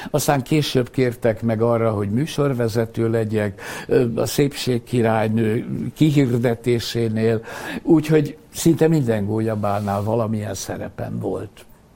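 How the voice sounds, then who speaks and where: The speaker talks at a very slow pace with ordinary pitch variation. Background noise is noticeable throughout. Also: man, medium pitch for a man. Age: 80s+. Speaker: sports physician and professor emeritus. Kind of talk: interview. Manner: hesitant with repeated fillers.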